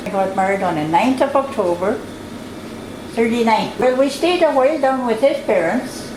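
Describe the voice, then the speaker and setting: Noticeable background noise and audible room echo accompany a woman speaking at a moderate pace. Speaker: elder storyteller. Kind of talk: oral history interview.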